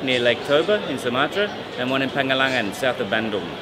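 A man talks at a fairly quick pace over loud background noise. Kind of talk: interview answer. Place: hall.

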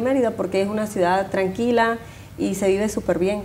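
Woman with a Venezuelan accent and a fairly high pitch, over light background noise. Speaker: neighborhood association member. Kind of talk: TV interview. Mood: warm, friendly. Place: studio. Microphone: lapel.

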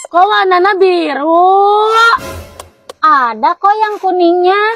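Clear music plays in the background while the speech goes at a very slow pace. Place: garden. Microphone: lapel.

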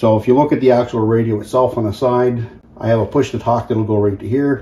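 This man talks at a fairly quick pace in a dark, mellow tone with a slightly husky edge. His pitch is medium and his intonation fairly even.

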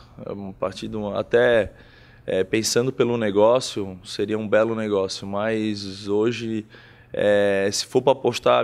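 A man's fairly low voice, monotone and flat in intonation, at a fairly slow pace. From Florianópolis, southern Brazil; Santa Catarina, Brazil. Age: 30s. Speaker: businessman and football club sponsor. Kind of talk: interview. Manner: halting, with frequent repetitions. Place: home room. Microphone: handheld.

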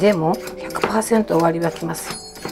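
With clear music in the background, a woman speaks at a moderate pace in a Kansai accent. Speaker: comedian. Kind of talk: casual cooking talk to camera. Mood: warm, encouraging, humorous. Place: kitchen. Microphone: phone near.

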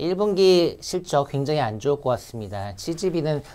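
A man's voice carries a dark, mellow tone. His pitch makes very wide swings. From South Korea. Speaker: securities analyst. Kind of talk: market research briefing. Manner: frequent filler hesitations.

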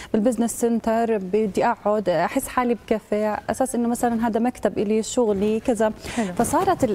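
A woman speaks at a moderate pace with fairly even intonation and very even loudness. Light background noise sits behind her. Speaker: guest. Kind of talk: interview answer. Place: studio.

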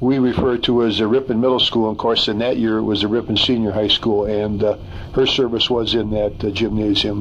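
A man talks at a fairly quick pace in a monotone, flat intonation with very even loudness, over light background noise. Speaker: interviewee. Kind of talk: interview answer. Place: studio.

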